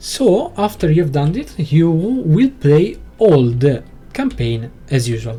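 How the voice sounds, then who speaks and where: A man's fairly high voice with a non-native accent, very slow, with very wide pitch swings. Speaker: video game tutorial creator. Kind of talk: tutorial. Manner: halting, many fillers.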